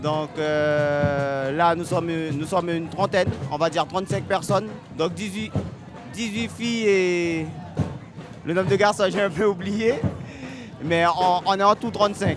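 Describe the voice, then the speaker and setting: A man with a high-pitched voice speaks at a fairly slow pace, leaving long, frequent pauses. His pitch varies in an ordinary way, with music playing in the background. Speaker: carnival group leader. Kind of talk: interview answer.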